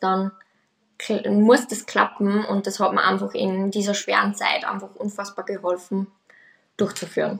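Her pitch is medium for a woman. The intonation stays monotone and flat throughout. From Austria. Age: 20s. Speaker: nursery teacher sharing pregnancy loss story. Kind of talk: personal testimony.

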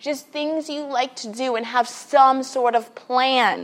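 Fairly slow delivery in an American accent. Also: woman. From New York City, Queens. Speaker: children's librarian. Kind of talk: casual interview.

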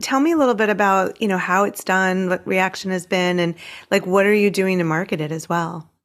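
Using a normal speaking voice, a woman talks at a fairly quick pace with medium pitch and ordinary pitch variation. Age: 50s. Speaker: podcast host and writing coach. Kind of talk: interview.

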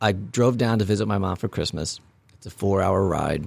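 A man's fairly low voice, somewhat breathy, with ordinary pitch variation. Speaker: podcast host. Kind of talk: casual chat.

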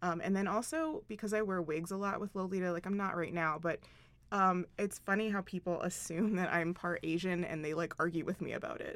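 A woman's ordinary speaking voice, medium in pitch, at a fairly quick pace, on a very clean recording with a silent background. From Philadelphia, US East Coast. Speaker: fashion designer, clothing brand owner. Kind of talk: interview. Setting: studio.

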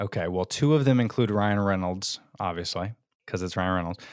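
This man speaks at a fairly low pitch with fairly even intonation, in a dry, close sound with no echo on a very clean recording against a silent background. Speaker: small business co-founder. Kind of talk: casual interview. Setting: podcast guest interview. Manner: loud.

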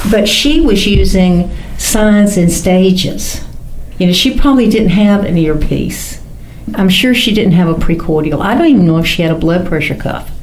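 A woman at medium pitch and moderate pace, her loudness very even and pitch variation ordinary, with noticeable background noise. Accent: Southern US. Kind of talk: casual chat.

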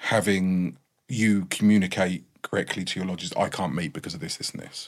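A man with a very deep, low pitch, ordinary pitch variation and an English accent. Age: 30s. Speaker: freemason. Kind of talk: casual chat.

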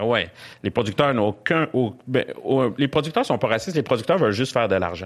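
With a Quebec accent, a man talks at a fairly quick pace in a medium pitch, his intonation lively and his loudness very even against a quiet background. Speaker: comedian. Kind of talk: casual chat.

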